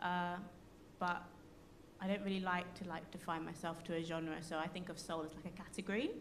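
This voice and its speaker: Speaking with a London accent, a woman talks at a fairly quick pace and a fairly low pitch, with monotone, flat intonation. She takes long, frequent pauses, and audible room echo can be heard. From London, Hackney. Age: 20s. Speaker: soul singer. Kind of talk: casual chat. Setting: live radio broadcast from a concert venue.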